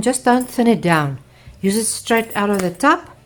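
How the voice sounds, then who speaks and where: A woman speaks with a South African accent. Her pitch is fairly high and her pace fairly quick. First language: Afrikaans. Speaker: art teacher. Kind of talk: tutorial. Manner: halting.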